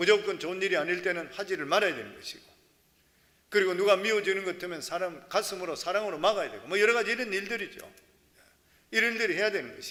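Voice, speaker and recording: Over audible room echo, a man with a high pitch and a raised, projected voice speaks very fast, with ordinary pitch variation and big swings in loudness. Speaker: pastor. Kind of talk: sermon. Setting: church, early morning service.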